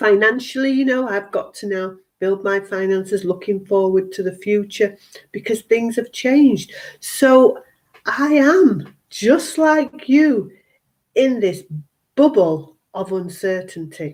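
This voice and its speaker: A woman's fairly high, lively voice at a very slow pace. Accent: British. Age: 60s. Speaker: health and wellness coach. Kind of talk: live stream monologue. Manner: animated.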